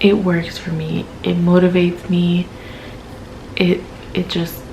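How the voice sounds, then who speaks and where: A woman with a fairly low pitch speaks very slowly in a monotone, flat intonation. Noticeable background noise and audible room echo surround her. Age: 20s. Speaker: vlogger documenting weight loss. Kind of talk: casual vlog. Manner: hesitant, many fillers.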